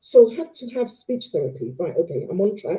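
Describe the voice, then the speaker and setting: A woman is speaking. Her pace is fairly quick. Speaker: live show host. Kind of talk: live show Q&A. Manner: stumbles over words.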